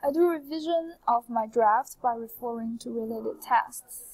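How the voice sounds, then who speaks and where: A woman with a Chinese accent speaks at a high pitch. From China. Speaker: translation student. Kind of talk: scripted presentation. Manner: formal.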